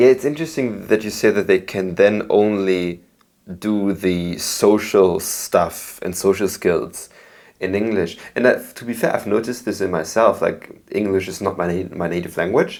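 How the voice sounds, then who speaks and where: Over a very clean recording with a silent background, a man with a Belgian accent speaks at a moderate pace with a fairly low pitch and ordinary pitch variation. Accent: Belgian German-speaking accent in English. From Belgium. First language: German. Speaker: podcast host. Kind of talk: interview.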